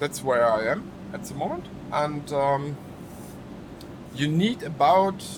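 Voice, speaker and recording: Speaking at a very slow pace with long, frequent pauses, a man with a strong German accent uses lively intonation and a fairly high pitch, with noticeable background noise and audible room echo. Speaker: gaming YouTuber. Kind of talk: gameplay tutorial. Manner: halting, many fillers.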